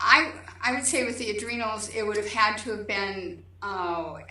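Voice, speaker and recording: Audible room echo surrounds a woman's fairly high, bright and sharp voice as she talks at a fairly slow pace. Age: 60s. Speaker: patient giving testimonial. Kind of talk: testimony. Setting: video call.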